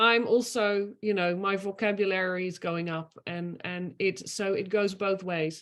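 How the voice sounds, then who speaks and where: With a Dutch accent, a woman speaks in a bright, sharp tone. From Netherlands. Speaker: master student. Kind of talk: online admission talk. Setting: video call.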